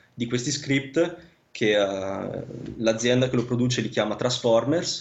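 Audible room echo surrounds a man speaking at a medium pitch and a fairly slow pace. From northern Italy, Vicenza (Veneto). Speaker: land surveyor. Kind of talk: casual interview. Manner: halting, many fillers and repetitions.

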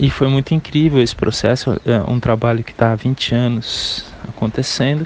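Noticeable background noise sits behind the recording. A man speaks at a moderate pace with fairly even intonation. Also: medium pitch for a man. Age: 40s. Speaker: guitarist, composer and music teacher. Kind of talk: interview.

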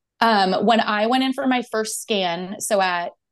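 The woman's pitch is medium, with ordinary variation. The background is quiet. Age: 30s. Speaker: guest sharing pregnancy loss story. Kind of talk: interview.

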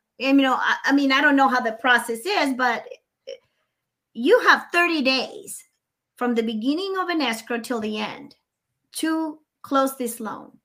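This woman talks in a raised, projected voice that sits high, with lively intonation and a Spanish accent. Her tone is bright and sharp, and she moves at a fairly slow pace with long, frequent pauses. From Nicaragua. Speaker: mortgage consultant and real estate broker. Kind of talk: casual interview chat. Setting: video call.

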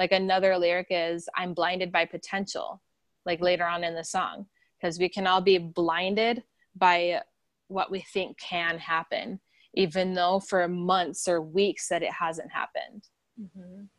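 A woman with an American accent, fairly slow and monotone with flat intonation, in a dry, close sound with no echo over a quiet background. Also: medium pitch for a woman. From South Dakota, US Midwest. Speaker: actress and singer. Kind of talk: interview.

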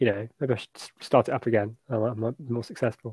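Speaking at a fast pace, a man has a slightly husky edge, a slightly mellow tone and fairly even intonation. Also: medium pitch for a man.

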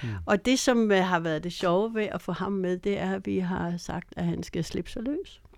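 A woman with an unremarkable speaking voice talks fairly slowly at a medium pitch, with ordinary pitch variation and hardly any pauses. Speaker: bass player. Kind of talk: casual interview.

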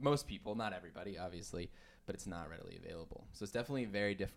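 A man speaks very fast with an American accent. His pitch is fairly low and varies in an ordinary way. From US Southwest, Farmington, New Mexico. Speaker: cafe manager. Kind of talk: casual chat. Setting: closed cafe.

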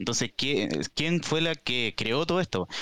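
This is a normal speaking voice with lively intonation at a moderate pace. The recording is very clean, with a silent background. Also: man. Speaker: podcast guest. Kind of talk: casual chat. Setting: live-streamed podcast.

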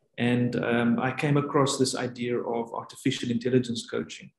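At a moderate pace, a man talks in a somewhat breathy, medium-pitched voice. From South Africa. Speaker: coaching researcher and lecturer. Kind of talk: interview.

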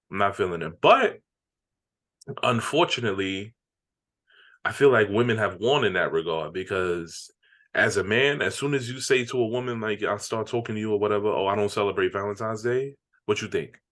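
A fairly low-pitched man at a fairly quick pace, with long, frequent pauses, ordinary pitch variation and a quiet background. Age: 30s. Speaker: podcast co-host. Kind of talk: casual chat.

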